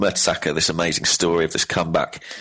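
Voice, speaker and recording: Very fast speech from a man with a very deep, low pitch, plus noticeable background noise. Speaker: football fan guest. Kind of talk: casual chat.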